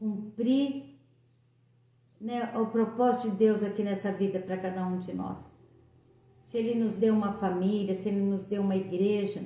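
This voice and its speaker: Amid noticeable background noise and audible room echo, a woman speaks at a fairly slow pace. Her medium-pitched voice has monotone, flat intonation. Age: 60s. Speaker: lay preacher. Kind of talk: devotional talk.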